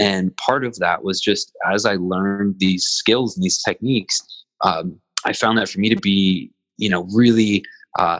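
At a moderate pace, a man talks with a fairly low pitch and ordinary pitch variation, the sound dry and close with no echo. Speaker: behavioral consultant and facilitator. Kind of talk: interview conversation.

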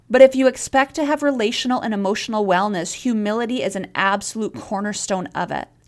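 Ordinary pitch variation marks a woman's speech at a moderate pace. She has an unremarkable speaking voice, fairly high in pitch. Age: 30s. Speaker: podcast host and counselor. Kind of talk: solo podcast monologue.

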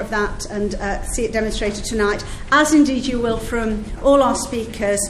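A woman speaks at a moderate pace in a fairly high voice, with noticeable background noise. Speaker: MP chairing event. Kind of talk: formal chairing and welcome at an event. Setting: event with audience.

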